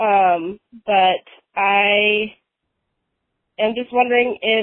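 A woman with fairly even intonation. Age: 20s. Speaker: caller seeking a tarot reading. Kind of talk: voicemail call-in question. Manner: halting, many fillers.

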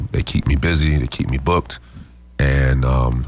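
Through noticeable background noise comes a man's very deep, low voice with fairly even intonation. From Midwest US, Chicago then Omaha and Lincoln. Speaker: DJ and nonprofit founder. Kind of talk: casual interview. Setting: radio studio. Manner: hesitant, many fillers.

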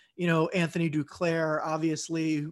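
Speaking in an American accent, a man has a fairly high pitch and a monotone, flat intonation. He talks at a moderate pace in a very clean recording with a silent background. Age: 20s. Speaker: YouTube content creator, sports fan. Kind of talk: casual chat.

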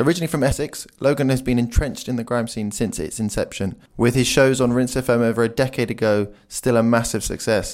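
At a fairly quick pace with hardly any pauses, a man speaks in a plain, everyday voice at medium pitch with ordinary pitch variation. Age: 30s. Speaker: podcast host. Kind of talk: scripted narration; interview.

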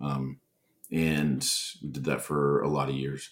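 The voice carries an American accent and vocal fry. Its intonation stays fairly even. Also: man. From northern Minnesota (Bemidji). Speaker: screenwriter and comedian. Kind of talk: casual chat.

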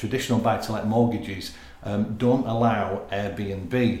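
Over noticeable background noise, a man with a Yorkshire accent speaks very slowly at a medium pitch with fairly even intonation. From Yorkshire, northern England. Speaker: building society mortgage representative. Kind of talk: casual interview chat.

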